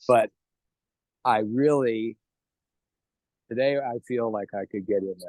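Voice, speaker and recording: A man with an American accent speaks at a medium pitch and fairly slow pace, with fairly even intonation, big swings in loudness and long, frequent pauses, in a dry, close sound with no echo. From New York. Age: 60s. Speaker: network marketing distributor. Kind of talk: interview.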